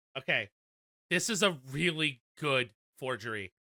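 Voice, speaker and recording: The speaker uses a put-on character voice with a low-to-middle pitch. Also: moderate pace. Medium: actual play.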